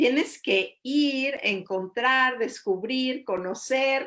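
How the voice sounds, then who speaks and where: Very slowly, a woman with a high pitch speaks with ordinary pitch variation. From Mexico. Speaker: interviewer. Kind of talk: interview.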